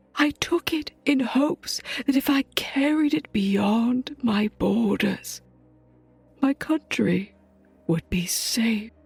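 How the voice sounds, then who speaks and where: A female-sounding voice puts on a character voice, high in pitch for a woman, at a very slow pace. Faint music plays in the background. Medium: audio drama. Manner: solemn, formal.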